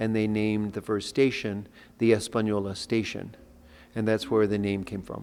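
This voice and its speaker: An American-accented man speaks at a moderate pace in a fairly low, monotone voice with flat intonation. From Colorado (Denver), New Mexican roots. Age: 70s. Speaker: artist and youth nonprofit founder. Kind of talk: interview. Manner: halting, self-correcting.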